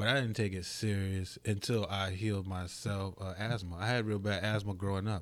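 Hardly pausing, a man speaks at a fairly low pitch with monotone, flat intonation. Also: moderate pace. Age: 40s. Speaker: herbalist. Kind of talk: casual chat.

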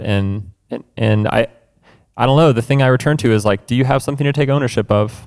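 The recording is very clean with a silent background as a man speaks at a moderate pace in an unremarkable speaking voice with ordinary pitch variation. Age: 20s. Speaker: musician and seminary student. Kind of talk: casual chat.

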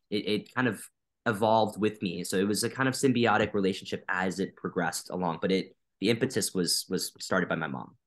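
Against a quiet background, a man with an American accent speaks in an ordinary speaking voice at a fairly low pitch. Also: ordinary pitch variation. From US Midwest, Wisconsin. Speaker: violinist. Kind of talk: interview.

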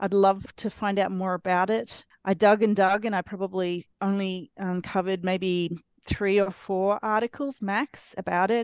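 Someone speaks at a moderate pace in an Australian accent, with fairly even intonation. The background is quiet, and the sound is dry and close with no echo. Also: woman, medium pitch for a woman. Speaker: author. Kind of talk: casual interview chat. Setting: video call.

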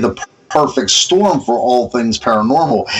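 A man speaks with lively intonation at a fairly slow pace. Noticeable background noise sits behind him. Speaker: podcast co-host. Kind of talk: casual interview chat. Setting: remote call with connection problems.

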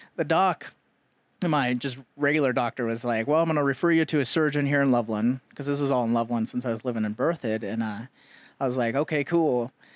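A man talks at a fairly quick pace and medium pitch with ordinary pitch variation. The recording is very clean with a silent background. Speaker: cancer survivor and veteran. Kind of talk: casual interview chat. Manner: nervous, halting.

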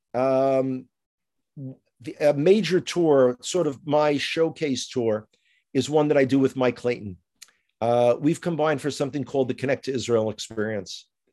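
A man with a New York accent, medium pitch, dark, mellow tone, ordinary pitch variation and moderate pace, over a quiet background. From US, New York (Bronx). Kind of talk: interview conversation. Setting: remote call.

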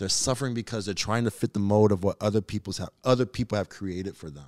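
Recorded very cleanly against a silent background, with a dry, close sound and no echo, a man uses an ordinary speaking voice at a fairly low pitch with ordinary pitch variation. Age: 30s. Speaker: podcast guest. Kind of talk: casual chat.

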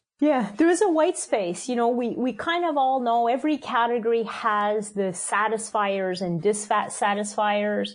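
A woman speaks at a moderate pace with a fairly high pitch and lively intonation. It's a plain, everyday voice. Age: 50s. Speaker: food company CEO. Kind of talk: interview.

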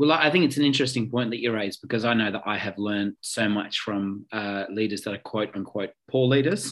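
Talking at a fairly quick pace with hardly any pauses, a man with an Australian accent keeps a medium pitch with ordinary pitch variation. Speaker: podcast host. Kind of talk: interview conversation.

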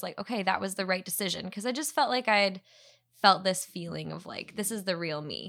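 A woman speaks at a medium pitch with a bright, sharp tone. Her pace is fairly quick, with ordinary pitch variation. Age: 30s. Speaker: podcast co-host. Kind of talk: casual chat. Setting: home recording in bedroom.

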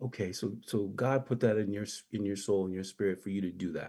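This man has an American accent and a plain, everyday voice. He speaks at a moderate pace with ordinary pitch variation. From US Virgin Islands (St. John). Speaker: sneaker historian and education entrepreneur. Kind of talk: radio interview.

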